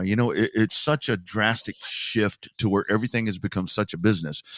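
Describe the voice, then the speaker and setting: Fairly quick and fairly low in pitch, this is a man with an American accent and an unremarkable speaking voice. The recording is very clean with a silent background, and the sound is dry and close with no echo. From Texas. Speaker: short track racing announcer and sports show host. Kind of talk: podcast interview answer.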